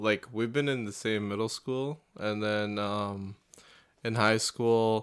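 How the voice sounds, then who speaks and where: A man with a fairly low pitch talks very slowly in a very clean recording with a silent background. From Canada. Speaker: university student. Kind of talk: casual chat.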